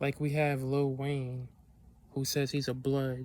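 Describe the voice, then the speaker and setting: This man talks at a very slow pace in a flat, monotone way. His pitch sits in the medium range. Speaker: video blogger. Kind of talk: casual monologue.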